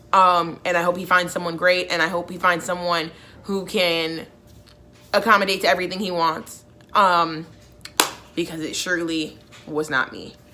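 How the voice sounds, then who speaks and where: Monotone, flat intonation with big swings in loudness and long, frequent pauses comes through over noticeable background noise. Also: woman, fairly low pitch for a woman, moderate pace. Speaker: YouTuber. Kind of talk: storytime vlog. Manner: casual, filler-heavy.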